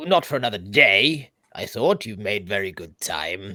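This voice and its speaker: A man's put-on character voice, fairly low in pitch, at a moderate pace on a very clean recording with a silent background. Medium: actual play. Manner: blunt, gruff, casual.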